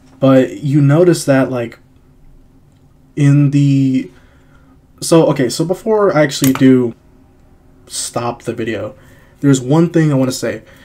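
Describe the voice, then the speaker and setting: Long, frequent pauses break up relaxed speech with ordinary pitch variation, set against noticeable background noise. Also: man. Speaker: YouTube movie reviewer. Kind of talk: casual video review monologue. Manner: halting, many repeats and fillers; casual, relaxed.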